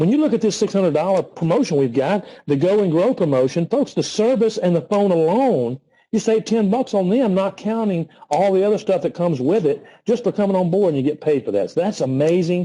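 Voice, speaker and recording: A man with a high pitch and a dark, mellow tone talks at a fairly quick pace with lively intonation. His loudness stays very even against a quiet background. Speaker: network marketing consultant. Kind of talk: motivational sales pitch on a training call. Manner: fast; animated.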